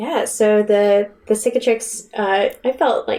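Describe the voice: A woman with a medium pitch and a slightly mellow tone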